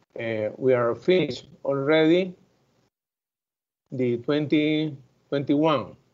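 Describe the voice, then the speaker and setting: A man's fairly high voice with a Spanish accent and fairly even intonation. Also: long, frequent pauses. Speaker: growers association president. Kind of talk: conference presentation. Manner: halting.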